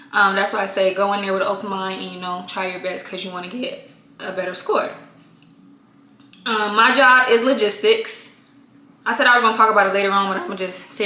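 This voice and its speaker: A woman talks at a fairly quick pace with fairly even intonation, amid noticeable background noise and audible room echo. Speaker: Air Force reservist vlogger. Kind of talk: casual Q&A vlog. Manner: casual, many filler ums.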